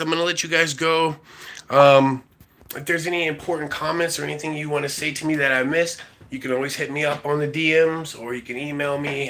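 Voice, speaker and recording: Over noticeable background noise, a man talks at a fairly quick pace and fairly high pitch. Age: 40s. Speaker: livestreamer. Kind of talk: casual chat.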